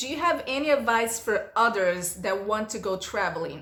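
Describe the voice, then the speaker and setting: With a Portuguese accent, a woman speaks at a fairly slow pace in a fairly high, animated voice over noticeable background noise. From Brazil. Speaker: vlogger. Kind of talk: casual Q&A vlog.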